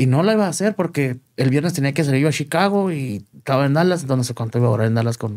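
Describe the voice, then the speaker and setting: A man's fairly high voice at a very fast pace, lively intonation and hardly any pauses, quiet background. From Chihuahua, Mexico. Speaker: entertainment show host and marketer; interview guest. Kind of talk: interview. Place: studio. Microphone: studio mic.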